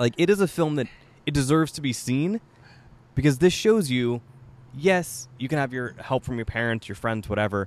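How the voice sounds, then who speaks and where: Here is a man with a normal speaking voice at a medium pitch. He talks at a moderate pace with lively intonation. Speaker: podcast host. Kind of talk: casual chat. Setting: on location, in person. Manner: laughs often.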